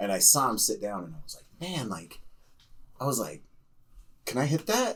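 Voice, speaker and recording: A man with a medium pitch and vocal fry speaks at a moderate pace with long, frequent pauses. His pitch swings very widely and his loudness varies in big swings. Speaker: podcast guest, bourbon collector. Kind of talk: casual chat. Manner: animated.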